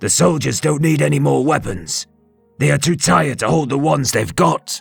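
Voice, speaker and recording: A raspy, put-on character voice at a moderate pace over faint background music. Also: man, medium pitch for a man. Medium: read story. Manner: respectful.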